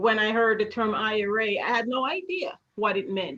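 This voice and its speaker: A woman speaks with a slight Jamaican accent at a fairly slow pace. Her tone is bright and sharp, her pitch fairly high. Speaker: retirement account educator. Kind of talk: interview.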